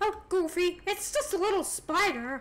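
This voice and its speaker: This is a put-on character voice with an extremely high, squeaky pitch. It moves at a moderate pace. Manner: cartoon character tone.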